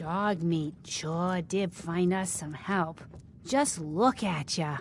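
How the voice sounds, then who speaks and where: Over clear background noise, a woman uses a put-on character voice, pitched fairly low and delivered at a very slow pace. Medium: video game. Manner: folksy, drawling.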